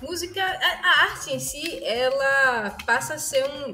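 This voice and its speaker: A woman's voice with music in the background. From Pernambuco, Brazil. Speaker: musician and music teacher. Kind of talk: interview answer.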